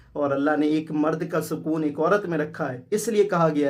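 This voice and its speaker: Speaking at a moderate pace, a man with a plain, everyday voice talks at a fairly high pitch. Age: 20s. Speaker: vlogger. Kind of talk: vlog talk to camera. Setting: at home after wedding.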